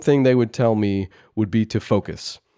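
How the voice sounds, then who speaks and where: Dry, close sound with no echo carries a man's voice. He speaks at a moderate pace in a dark, mellow tone. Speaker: YouTuber. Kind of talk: casual monologue. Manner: halting, with repeated words.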